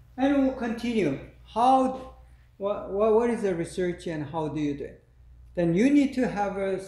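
There is audible room echo around the man's voice. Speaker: lecturer. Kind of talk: lecture. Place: classroom. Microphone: camera far.

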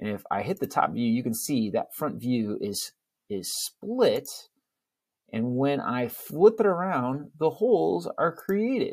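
Over a quiet background, a man talks at a fairly slow pace with very wide pitch swings. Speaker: CAD instructor. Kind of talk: tutorial.

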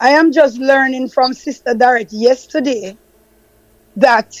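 A woman speaks with a Jamaican accent in a high pitch. Her pace is fairly slow and her intonation fairly even. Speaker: Rastafari elder. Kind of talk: testimony.

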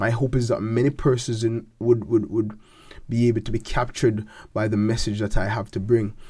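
Against a quiet background, a man with a medium-pitched, dark and mellow, somewhat breathy voice speaks fairly quickly with fairly even intonation. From Jamaica, north coast (Falmouth); Jamaica. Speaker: gospel singer and seminary student; interviewee. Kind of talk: interview. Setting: studio. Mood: warm, reflective. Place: studio. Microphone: studio mic.

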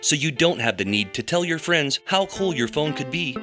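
A man with a fairly high pitch speaks at a moderate pace. His pitch swings very widely, and music plays in the background. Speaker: creative director. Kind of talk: parody TV commercial read. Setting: studio.

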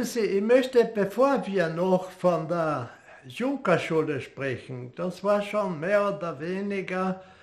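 Very slowly, a man with a high pitch speaks with very wide pitch swings. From Austria. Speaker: war veteran. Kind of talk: interview answer. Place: home room.

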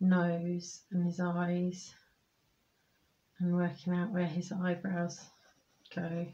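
A soft-spoken woman's voice, fairly low in pitch and somewhat breathy, with a dark, mellow, calm tone, monotone flat intonation, a very slow pace and long, frequent pauses. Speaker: amateur artist. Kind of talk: art tutorial narration, ASMR drawing commentary. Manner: soft-spoken, calm, slow. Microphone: phone near.

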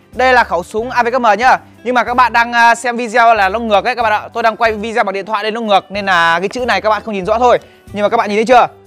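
A man's high-pitched voice at a very fast pace, with fairly even intonation and faint music in the background. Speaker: toy review vlogger. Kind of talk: casual vlog chat. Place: street. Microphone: lapel.

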